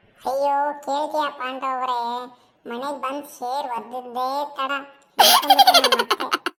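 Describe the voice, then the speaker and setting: A woman does a cartoonish character voice at a high pitch. She speaks fairly slowly with fairly even intonation. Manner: rambling, tells tall stories.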